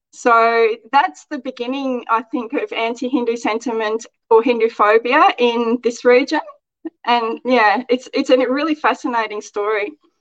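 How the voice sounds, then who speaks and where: A high-pitched woman with an Australian accent. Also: ordinary pitch variation, moderate pace. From Australia, outback Queensland. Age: 40s. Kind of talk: interview.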